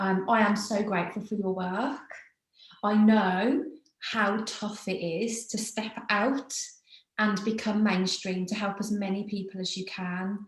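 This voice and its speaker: With a British accent, a woman talks at a fairly slow pace in a medium pitch with fairly even intonation, and audible room echo surrounds her voice. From Britain. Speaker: podcast host. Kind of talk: casual chat.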